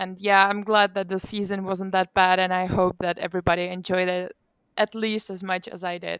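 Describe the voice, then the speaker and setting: With a Czech accent, a woman speaks in a flat monotone at a moderate pace, recorded dry and close with no echo, very clean with a silent background. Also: medium pitch for a woman. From Czech Republic. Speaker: glider pilot and instructor. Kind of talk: interview.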